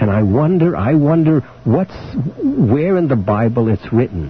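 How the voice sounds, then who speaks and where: With noticeable background noise behind him, a man speaks at a moderate pace, his pitch swinging very widely. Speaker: talk radio host. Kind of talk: live talk radio call-in show, host speaking with a caller. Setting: radio broadcast, 1995 AM radio recording.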